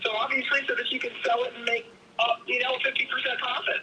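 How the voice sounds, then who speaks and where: A woman's very fast, lively speech in an American accent, over noticeable background noise. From Pennsylvania. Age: 70s. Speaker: property seller. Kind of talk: live sales call.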